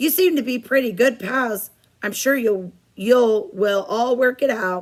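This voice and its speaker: A woman's put-on character voice, high and raspy, with lively intonation at a fairly slow pace. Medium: read story.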